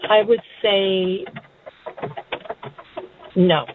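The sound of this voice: At a very slow pace, a woman talks at a medium pitch with ordinary pitch variation.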